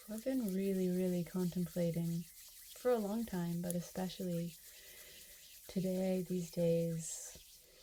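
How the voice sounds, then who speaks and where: A soft-spoken woman talks at a very slow pace, somewhat breathy and medium in pitch. Her tone is dark and mellow, and her intonation stays fairly even. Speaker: reiki practitioner and trainer. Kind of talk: reiki ASMR session, personal attention talk to camera.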